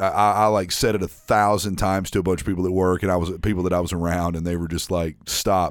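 Very deep, low male speech with an American accent. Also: very clean recording, silent background. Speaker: podcast co-host. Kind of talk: casual chat.

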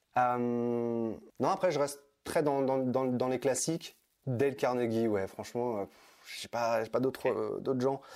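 Very slow and fairly even in intonation, a man speaks at a medium pitch. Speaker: personal development coach. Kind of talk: interview. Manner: hesitant, many fillers.

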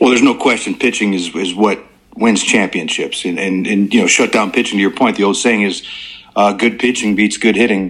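Over noticeable background noise, a man with an American accent talks at a fairly quick pace in a fairly low voice with fairly even intonation. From Chicago area, US Midwest. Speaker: former pro baseball player. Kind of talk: casual interview. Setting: phone call.

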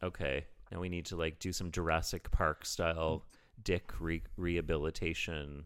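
Recorded very cleanly against a silent background, a man with a Canadian accent speaks in a very deep, low pitch and fairly even intonation. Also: moderate pace. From Canada. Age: 40s. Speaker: comedian. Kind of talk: casual chat. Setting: his apartment.

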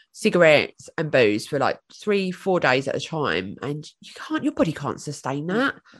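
With a British accent, a woman talks at a fairly quick pace against a quiet background. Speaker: podcast guest.

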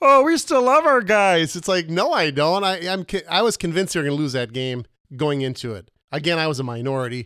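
A man with an Upper Midwest accent speaks at a high pitch and fairly quick pace, his tone bright and sharp. His pitch swings very widely, and the recording is very clean with a silent background. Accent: Upper Midwest American. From Minnesota. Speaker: podcast co-host. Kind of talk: casual comedic chat. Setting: home studio barn.

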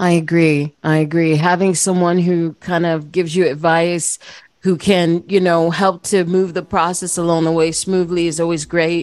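Her voice is fairly low in pitch, monotone and flat, and this woman keeps a moderate pace. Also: very even loudness. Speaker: podcast host. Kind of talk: interview.

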